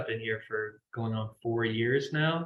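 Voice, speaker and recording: With an American accent, an unremarkable speaking voice carries ordinary pitch variation. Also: man. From US South, Kentucky small town. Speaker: professor. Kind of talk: online class kick-off meeting. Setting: video call. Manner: casual, filler-heavy.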